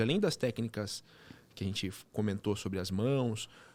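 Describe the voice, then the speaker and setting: The man's medium-pitched voice has lively intonation, captured on a very clean recording with a silent background. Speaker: podcast host. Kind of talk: interview podcast conversation. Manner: animated, fast when excited.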